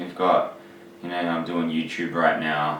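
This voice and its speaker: Noticeable background noise sits behind a man's voice. He speaks at a fairly slow pace with a fairly low pitch. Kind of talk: casual talk to camera.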